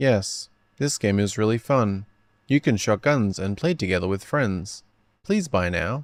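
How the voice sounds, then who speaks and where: Putting on a robotic character voice, a man talks at a moderate pace with a fairly low pitch. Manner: flat, mechanical.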